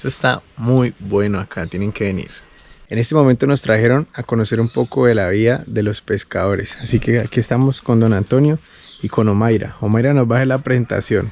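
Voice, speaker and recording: A man talks at a fairly quick pace, his medium pitch moving with ordinary variation. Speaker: travel vlogger. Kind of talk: travel vlog narration. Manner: animated.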